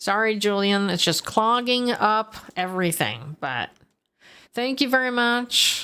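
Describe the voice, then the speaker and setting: This woman talks loudly at a fairly high pitch, with an animated tone and ordinary pitch variation. Her pace is fairly slow, and the recording is very clean with a silent background. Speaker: gaming streamer. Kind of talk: casual livestream gameplay chat.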